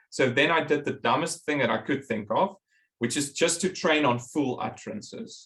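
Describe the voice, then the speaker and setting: This man has a normal speaking voice with fairly high pitch, ordinary pitch variation and a moderate pace. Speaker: professor. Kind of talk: lecture.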